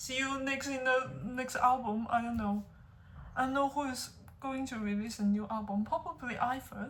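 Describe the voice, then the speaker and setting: Someone with a non-native accent speaks at a moderate pace with fairly even intonation and long, frequent pauses, over noticeable background noise. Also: woman. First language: not English. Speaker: music reaction youtuber. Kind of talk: music reaction video. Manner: halting.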